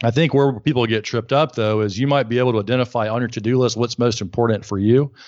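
A man of medium pitch speaks fairly quickly in a Southern US accent, his pitch varying in an ordinary way. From US South, Alabama. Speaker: burnout coach and author. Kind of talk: interview.

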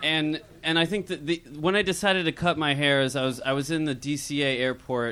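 Speaking with an American accent at a moderate pace, a man has an unremarkable speaking voice, a fairly high pitch and ordinary pitch variation. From California. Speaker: amateur comedian. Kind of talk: stand-up. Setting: stage with audience.

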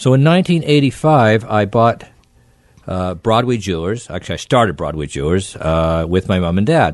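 A man's fairly low voice at a moderate pace, full of very wide pitch swings. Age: 60s. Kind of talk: casual radio interview. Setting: studio.

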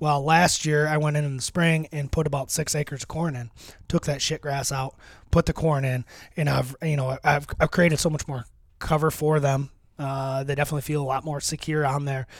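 A man with an American accent speaks at a fairly quick pace and a fairly high pitch. His intonation is monotone and flat, in a very clean recording with a silent background. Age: 30s. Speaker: deer hunter and land manager. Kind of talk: casual chat. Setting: outdoors on location. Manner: halting, many fillers.

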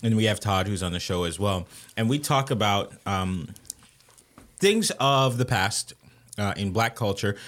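A man with a Haitian accent speaks at a fairly slow pace and a fairly low pitch, with ordinary pitch variation and long, frequent pauses. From Haitian-American, Haitian family. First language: Haitian Creole. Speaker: podcast host. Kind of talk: casual chat.

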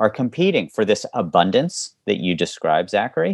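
A man's fairly low voice with an American accent, at a fairly quick pace with very wide pitch swings. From West Virginia. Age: 40s. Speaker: author and former public servant. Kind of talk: interview conversation.

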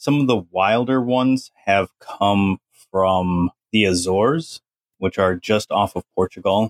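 At a fairly slow pace and very even loudness, a man speaks in a fairly low pitch with ordinary pitch variation, an ordinary speaking voice. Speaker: educator and podcaster. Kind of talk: casual interview chat.

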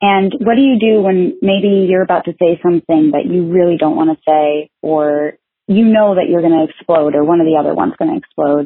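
A woman with an unremarkable speaking voice talks at a fairly quick pace and a medium pitch. Her loudness is very even, her pitch variation ordinary. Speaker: listener asking question.

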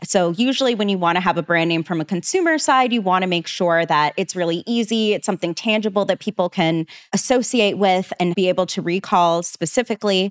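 A woman speaks in a plain, everyday voice at medium pitch with ordinary pitch variation and hardly any pauses. The sound is dry and close, with no echo. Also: fairly quick pace. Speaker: podcast host. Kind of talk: casual podcast chat about business.

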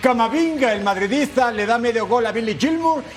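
This man talks at a high pitch and a fairly quick pace. Noticeable background noise runs under his voice. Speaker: sports radio host. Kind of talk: sports commentary and show hosting.

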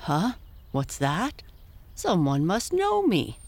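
Delivered at a very slow pace, the put-on character voice sits at a middle pitch. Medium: read story. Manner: friendly, hearty.

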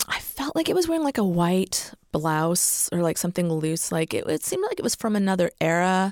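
A woman speaks at a fairly quick pace with very even loudness on a very clean recording with a silent background. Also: dry, close sound with no echo. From Massachusetts. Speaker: author. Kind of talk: casual chat; storytelling.

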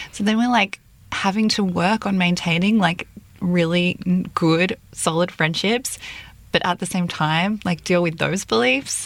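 A woman speaks in an Australian accent at a fairly slow pace and fairly low pitch. Her loudness stays very even, with ordinary pitch variation. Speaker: editorial director and co-host. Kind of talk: casual chat.

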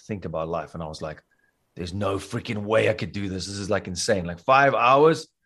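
Against a quiet background, a man with a South African accent talks at a very fast pace, his fairly low pitch showing ordinary variation. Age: 40s. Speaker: school teacher and triathlete. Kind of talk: casual interview chat. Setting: remote call.

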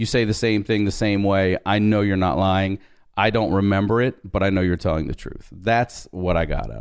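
A man with an American accent and an ordinary speaking voice talks at a moderate pace and fairly low pitch, with fairly even intonation but big swings in loudness. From Baltimore, Maryland, US. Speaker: comedian and podcast host. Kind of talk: casual interview, personal storytelling.

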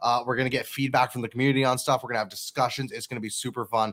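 A man with a normal speaking voice talks at a medium pitch in a dry, close sound with no echo. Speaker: podcast host. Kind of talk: casual chat. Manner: excitable.

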